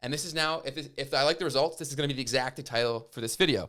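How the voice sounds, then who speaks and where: This man's voice sits fairly high, with ordinary pitch variation. The recording is very clean with a silent background. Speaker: YouTube growth educator. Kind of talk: tutorial. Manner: fast; casual.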